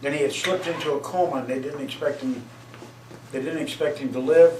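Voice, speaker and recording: On a recording with audible room echo and noticeable background noise, a man with a fairly high pitch and an American accent talks at a fairly quick pace. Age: 60s. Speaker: father being interviewed. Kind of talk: casual chat. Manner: halting.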